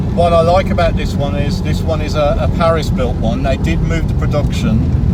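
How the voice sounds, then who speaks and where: Amid noticeable background noise and audible room echo, a man with a Birmingham accent talks at a moderate pace at a very even loudness. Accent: Birmingham (Brummie). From Birmingham, England. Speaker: classic car owner, YouTuber. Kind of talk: casual interview chat. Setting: in a car, engine noise.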